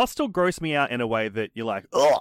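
On a very clean recording with a silent background and a dry, close sound with no echo, a man speaks with an Australian accent and ordinary pitch variation. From Brisbane, Australia. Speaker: podcast host. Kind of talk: casual chat.

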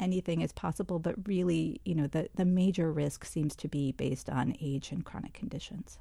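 With a fairly low pitch, vocal fry and a dark, mellow tone, a woman speaks at a fairly quick pace with hardly any pauses. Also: ordinary pitch variation. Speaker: public health official and physician. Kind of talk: interview. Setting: studio.

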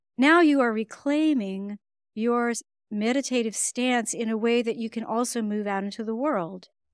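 A normal speaking voice, heard on a very clean recording with a silent background, moves at a moderate pace with ordinary pitch variation. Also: woman, fairly high pitch for a woman. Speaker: breath work and meditation teacher. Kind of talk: guided meditation, calm instructional breathing cues.

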